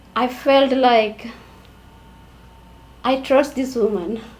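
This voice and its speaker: The speech moves at a very slow pace with fairly even intonation. There is audible room echo. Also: woman. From India. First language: an Indian language. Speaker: immigrant domestic worker. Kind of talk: interview testimony. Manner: halting.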